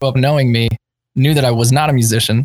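Speaking in a plain, everyday voice, a man keeps a medium pitch and fairly even intonation. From Pennsylvania, US. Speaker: band vocalist. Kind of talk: casual chat.

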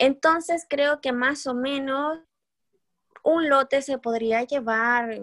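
A woman at a very slow pace with ordinary pitch variation, dry and close with no echo. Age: 20s. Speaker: entrepreneur and pharmacy student. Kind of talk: interview. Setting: remote call.

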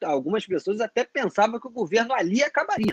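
A man's high-pitched voice comes through with a dry, close sound and no echo. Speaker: podcast host and moderator. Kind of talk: casual political discussion.

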